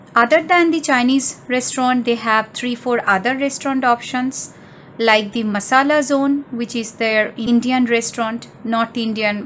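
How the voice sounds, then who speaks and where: A woman at a moderate pace, with ordinary pitch variation, hardly any pauses and light background noise. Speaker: travel vlogger. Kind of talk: casual vlog chat. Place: home room. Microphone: phone near.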